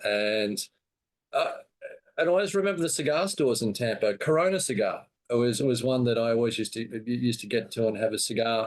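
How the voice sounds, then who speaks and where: A man speaks at a fairly quick pace in an Australian accent. His intonation is lively and his loudness stays very even. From Australia, Brisbane. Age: 60s. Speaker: cigar seller and show host. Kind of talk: casual interview chat.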